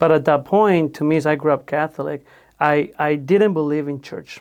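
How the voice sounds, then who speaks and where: On a very clean recording with a silent background, a man with a Spanish accent speaks at a fairly high pitch. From Mexico. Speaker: podcast host. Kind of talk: casual faith-based interview conversation.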